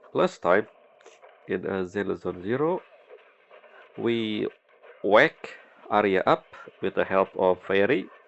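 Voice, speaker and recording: The man's voice sits at a fairly low pitch with ordinary variation. He speaks at a very slow pace with long, frequent pauses. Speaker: gaming commentator. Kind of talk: let's play commentary.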